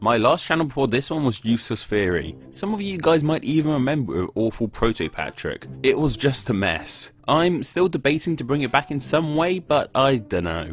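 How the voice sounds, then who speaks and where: With music in the background, a speaker with a Southeast English accent talks with very wide pitch swings and hardly any pauses. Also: man, fairly high pitch for a man, moderate pace. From Southeast England. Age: young. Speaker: educational YouTuber. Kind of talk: Q&A video narration. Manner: casual.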